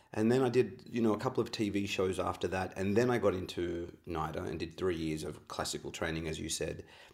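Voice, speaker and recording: Very deep and low in pitch, a man speaks in an Australian accent with ordinary pitch variation. He goes at a very fast pace with hardly any pauses. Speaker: actor and acting coach. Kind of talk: interview.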